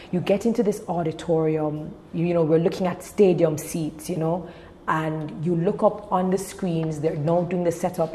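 Speaking at a moderate pace, the woman has a fairly low pitch and monotone, flat intonation. Noticeable background noise can be heard. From Jamaica. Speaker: events and television host, speaker. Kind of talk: casual interview.

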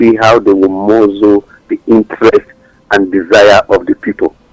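Music plays in the background while a man speaks at a moderate pace, the sound dry and close with no echo. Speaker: talk show panelist. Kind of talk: radio-style panel discussion.

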